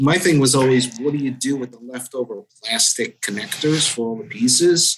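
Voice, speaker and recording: A man with an American accent speaks in a plain, everyday voice at medium pitch, with ordinary pitch variation and a moderate pace. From New Jersey. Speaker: IT director. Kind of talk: casual interview.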